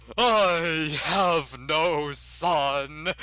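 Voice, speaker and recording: A put-on character voice at a middle pitch sounds over light background noise. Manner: cold, dismissive.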